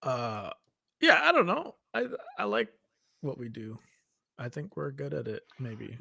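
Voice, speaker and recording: A man talks at a fairly slow pace. He leaves long, frequent pauses, and his loudness swings widely. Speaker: podcast co-host.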